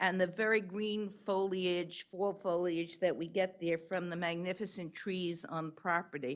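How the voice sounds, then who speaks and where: A New York accent at a moderate pace, ordinary pitch variation, and a very clean recording with a silent background. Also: woman. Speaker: public commenter. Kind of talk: public testimony.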